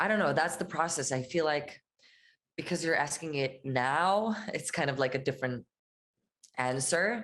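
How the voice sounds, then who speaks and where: A woman with an Israeli accent, long, frequent pauses, ordinary pitch variation and very even loudness. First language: Hebrew. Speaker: musician. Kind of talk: interview. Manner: casual, hesitant with fillers.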